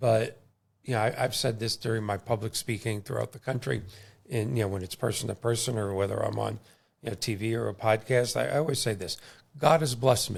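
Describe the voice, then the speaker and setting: A man at medium pitch with vocal fry, ordinary pitch variation and a fairly quick pace, on a very clean recording with a silent background. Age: 60s. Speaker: podcast host and mortgage lender. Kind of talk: casual interview chat. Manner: animated.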